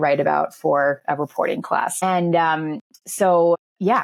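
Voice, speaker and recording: With a normal speaking voice, a woman talks at a fairly low pitch and with ordinary pitch variation. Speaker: journalist and author. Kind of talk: podcast interview. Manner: conversational, many fillers.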